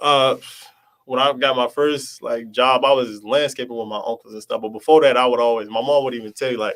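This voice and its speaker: This man talks at a fairly quick clip in a medium pitch. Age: 20s. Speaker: young entrepreneur. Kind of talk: interview. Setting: live stream. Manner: fast; animated.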